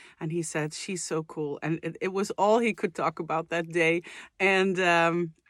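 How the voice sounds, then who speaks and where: Recorded very cleanly with a silent background and a dry, close sound with no echo, a woman speaks with a fairly low pitch in a Dutch accent. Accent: Dutch accent, non-native English. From Netherlands. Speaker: vocal coach and singer, reaction youtuber. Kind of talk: casual reaction video chat. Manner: hesitant, many fillers.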